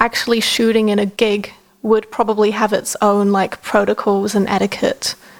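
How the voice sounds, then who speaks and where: The speaker has an Australian accent and talks at a moderate pace with very even loudness. The intonation is monotone and flat, with noticeable background noise. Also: woman, fairly high pitch for a woman. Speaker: podcast co-host. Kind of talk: casual chat.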